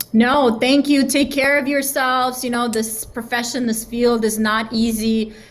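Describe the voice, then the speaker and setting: In a high pitch and a monotone, flat intonation, a woman talks at a fairly slow pace with hardly any pauses, her voice carrying audible room echo. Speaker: sales leader. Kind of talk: interview. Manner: casual, with many fillers.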